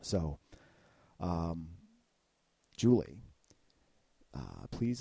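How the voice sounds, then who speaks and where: Very deep and low in pitch, a man speaks with a dark, mellow tone. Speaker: radio host. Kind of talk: interview. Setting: studio. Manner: loud; halting.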